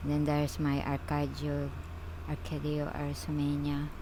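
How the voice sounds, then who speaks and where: A woman mumbling at a fairly slow pace amid audible room echo. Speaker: gardening vlogger. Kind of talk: casual video tour. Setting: greenhouse tent. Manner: halting.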